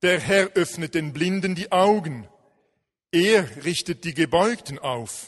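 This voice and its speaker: A man speaks at a very slow pace in a high voice with lively intonation. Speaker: scripture reader. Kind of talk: reading aloud a psalm.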